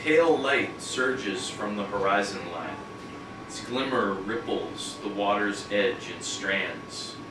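Amid noticeable background noise and audible room echo, a man with a fairly low pitch speaks at a very slow pace, with ordinary pitch variation and big swings in loudness. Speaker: poet at a reading. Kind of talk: poetry reading with chatty intros. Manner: casual, conversational between poems. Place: shop.

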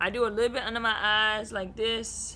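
There is light background noise as a woman speaks in a bright, sharp tone with vocal fry. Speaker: beauty vlogger. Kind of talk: casual vlog chat. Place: home room. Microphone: camera far.

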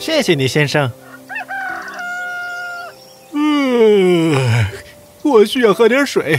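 Faint music plays behind a cartoonish character voice that moves at a very slow pace with big pitch swings. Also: man, high pitch for a man.

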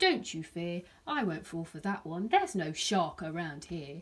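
A woman puts on a character voice with a fairly low pitch and a slightly husky edge. Her pitch swings widely. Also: fairly slow pace.

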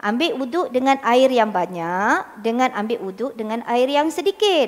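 A woman speaks at a fairly slow pace. Her high voice moves through very wide pitch swings. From Malaysia. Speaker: religious teacher. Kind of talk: lecture. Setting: mosque. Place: hall. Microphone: handheld.

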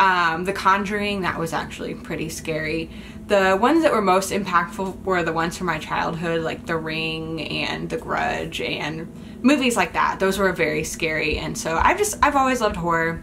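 At a moderate pace, a woman talks in a fairly low pitch with ordinary variation, over light background noise. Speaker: vlogger. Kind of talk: casual vlog chat. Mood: playful, nostalgic. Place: home room. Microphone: phone near.

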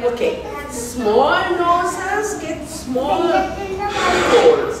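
Loud background noise and audible room echo surround a woman whose pitch swings very widely. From Sri Lanka. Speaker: storyteller. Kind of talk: storytelling to children. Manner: animated. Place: classroom. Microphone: camera far.

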